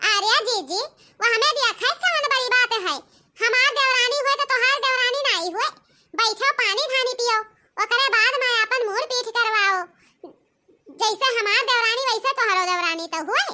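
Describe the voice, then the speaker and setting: At a moderate pace, a woman performs a cartoonish character voice at an extremely high pitch. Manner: chatty, emphatic.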